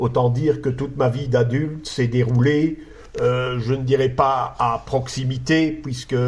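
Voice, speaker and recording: Audible room echo surrounds a man's somewhat breathy voice. He speaks at a fairly slow pace with monotone, flat intonation. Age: 60s. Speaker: conference speaker. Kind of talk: lecture. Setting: conference hall with audience. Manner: halting, frequent hesitations.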